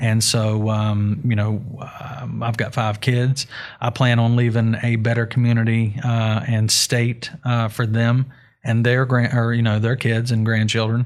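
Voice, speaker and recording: A man with a West Virginia accent speaks at a fairly slow pace in a medium pitch, his flat, monotone delivery held at a very even loudness on a very clean recording with a silent background. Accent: Appalachian (West Virginia). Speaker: hemp grower and CBD business owner. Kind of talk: interview. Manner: halting, many fillers.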